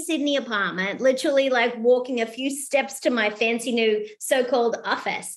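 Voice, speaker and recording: With an Australian accent, a woman talks at a moderate pace in a high voice. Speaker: keynote speaker and author. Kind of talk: podcast interview. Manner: animated.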